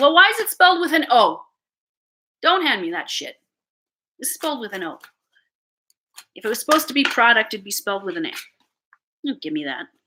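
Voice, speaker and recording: A bright, sharp, raised and projected voice with a Canadian accent, very fast pace, very wide pitch swings and long, frequent pauses. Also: woman, high pitch for a woman, big swings in loudness. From Canada. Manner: casual, chatty, uses "eh".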